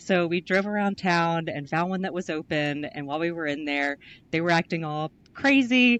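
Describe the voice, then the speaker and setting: A woman with a Southern US accent speaks at a fairly low pitch. The sound is dry and close, with no echo. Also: ordinary pitch variation, moderate pace. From US South, North Carolina. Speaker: writing center professional and doctoral candidate. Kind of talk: interview. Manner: casual, hesitant fillers.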